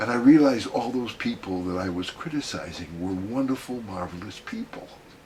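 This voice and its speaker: Through noticeable background noise, a man talks at a moderate pace with lively intonation. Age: 80s+. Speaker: gestalt therapist. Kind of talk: interview.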